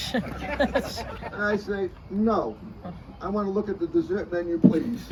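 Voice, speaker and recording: Over crowd noise in the background, a man with a high pitch speaks very slowly and with lively intonation. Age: 80s+. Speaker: lawyer celebrating his birthday. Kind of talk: birthday speech. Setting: birthday luncheon with guests.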